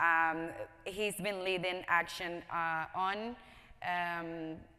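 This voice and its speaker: Heard on a very clean recording with a silent background, a woman with a Spanish accent speaks at a fairly low pitch in a bright, sharp tone with fairly even intonation. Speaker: panel moderator. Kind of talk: panel discussion introduction. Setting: large conference room with audience. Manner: hesitant, many fillers.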